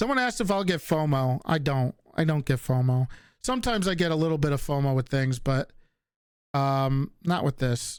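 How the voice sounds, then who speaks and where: With a slight Northeastern US accent, the speaker talks at a moderate pace with lively intonation and very even loudness, on a very clean recording with a silent background. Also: man, fairly high pitch for a man. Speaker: livestreamer. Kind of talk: casual chat.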